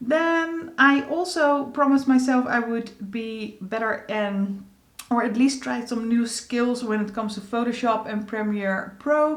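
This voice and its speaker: Fairly slow speech in a Dutch accent, with ordinary pitch variation and audible room echo. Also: woman, fairly high pitch for a woman. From Netherlands. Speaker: beauty vlogger. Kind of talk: casual vlog update. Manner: halting, frequent fillers.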